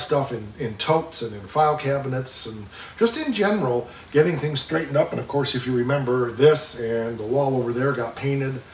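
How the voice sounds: Medium pitch from a man at a fairly quick pace, ordinary pitch variation and audible room echo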